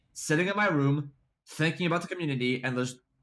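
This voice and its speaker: On a very clean recording with a silent background, a man speaks very fast in an animated tone at a fairly high pitch. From France. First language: French. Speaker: esports tournament organizer. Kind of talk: casual interview chat. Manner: animated, full of fillers and restarts.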